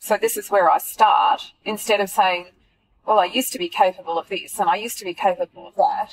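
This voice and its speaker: A woman with an Australian accent speaks at a fairly quick pace, the sound dry and close with no echo. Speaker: runner and friend of host. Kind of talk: casual chat. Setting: in a car.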